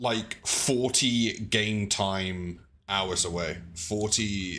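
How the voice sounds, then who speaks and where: Loud, with a bright, sharp tone, the voice moves at a very slow pace. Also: man, fairly low pitch for a man. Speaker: twitch streamer. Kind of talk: live gameplay stream chat.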